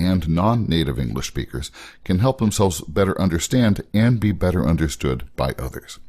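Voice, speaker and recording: A man with a very deep, low pitch, an American accent and vocal fry, at a moderate pace with lively intonation. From United States. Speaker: podcast host. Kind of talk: podcast interview. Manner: scripted reading.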